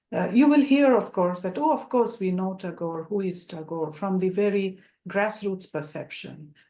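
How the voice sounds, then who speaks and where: Here is a woman with a Bengali accent and a medium pitch. Her tone is dark and mellow, and her intonation is lively. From India (Bengal). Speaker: academic presenter. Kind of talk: presentation. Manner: hesitant, many fillers.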